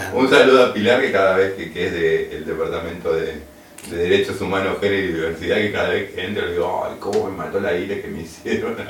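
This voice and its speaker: A man with a Rioplatense accent talks very fast, with audible room echo and noticeable background noise. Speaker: radio co-host. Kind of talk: casual chat.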